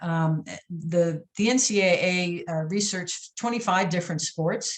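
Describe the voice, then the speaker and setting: A woman's somewhat breathy, fairly low voice with an American accent and ordinary pitch variation. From US Midwest, St. Louis, Missouri. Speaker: athletics consultant and former basketball official. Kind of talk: podcast interview. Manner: hesitant, many fillers and repetitions.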